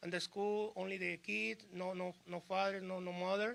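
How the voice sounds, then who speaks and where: At a moderate pace, the speaker talks with a Spanish accent and ordinary pitch variation. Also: man. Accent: Spanish-accented, limited English. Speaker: small business owner. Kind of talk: short speech at press conference. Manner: halting.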